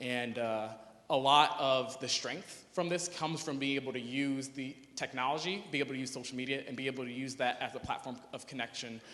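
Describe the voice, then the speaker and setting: There is audible room echo as a man speaks fairly quickly at a medium pitch, in a bright, sharp tone with fairly even intonation. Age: 20s. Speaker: youth activist, conference speaker. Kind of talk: conference talk. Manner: casual, hesitant with fillers.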